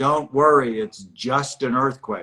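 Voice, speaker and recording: Slipping into a booming, put-on character voice, a man talks at medium pitch and a fairly slow pace. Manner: calm, reassuring.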